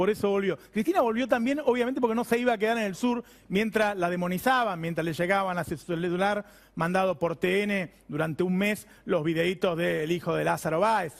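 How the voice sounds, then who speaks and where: On a very clean recording with a silent background, a man talks at a high pitch with ordinary pitch variation. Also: fairly quick pace. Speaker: TV host and economic journalist. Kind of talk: TV editorial commentary.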